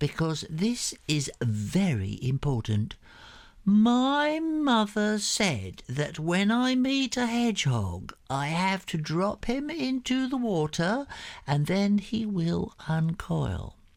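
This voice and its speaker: Very slow and very even in loudness, a put-on character voice makes very wide pitch swings in a very clean recording with a silent background. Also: man, high pitch for a man. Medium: read story. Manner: demanding, easily puzzled.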